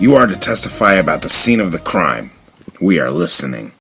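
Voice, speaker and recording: A man's raspy, put-on character voice with a very deep, low pitch, very wide pitch swings and a fairly quick pace. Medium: audio drama. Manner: cocky, sardonic.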